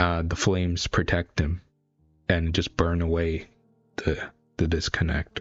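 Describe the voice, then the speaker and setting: A man with a very deep, low pitch speaks slowly-ish, with long, frequent pauses and a monotone, flat intonation at very even loudness. Music plays in the background. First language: not English. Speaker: streamer reacting to webcomic. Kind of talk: live reaction commentary. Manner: halting, many fillers and restarts.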